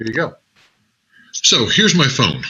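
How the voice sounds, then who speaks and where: The man's tone is bright and sharp. He speaks at a moderate pace. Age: 60s. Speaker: network marketing trainer. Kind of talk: live tutorial. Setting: live stream. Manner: casual, upbeat.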